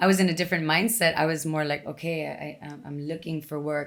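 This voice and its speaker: A woman with an American accent and a very deep, low pitch. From Texas, Mexican border. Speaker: fitness instructor. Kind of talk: casual chat. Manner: energetic.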